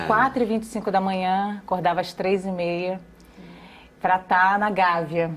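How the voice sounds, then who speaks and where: This is a normal speaking voice at a moderate pace. Its intonation is fairly even. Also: woman, medium pitch for a woman. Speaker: journalist and TV news anchor. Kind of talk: interview answer.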